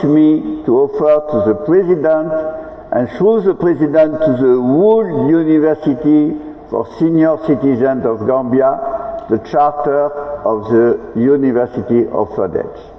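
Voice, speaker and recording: Over noticeable background noise, a man with a strong French accent and a fairly high pitch speaks fairly slowly with lively intonation. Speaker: international delegation leader. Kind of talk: ceremonial speech.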